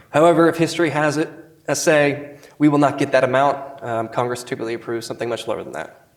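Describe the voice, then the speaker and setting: Speaking at a very fast pace, a man with a fairly high pitch keeps his intonation fairly even amid audible room echo. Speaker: government procurement official. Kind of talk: conference presentation.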